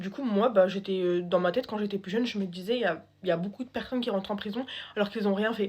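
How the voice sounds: A woman with a medium pitch speaks at a fast pace. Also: slightly mellow tone.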